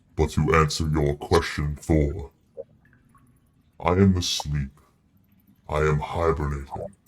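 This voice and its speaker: Putting on a character voice, a man speaks in a very deep, low pitch at a fairly slow pace. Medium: actual play. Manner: imperious, slow, menacing.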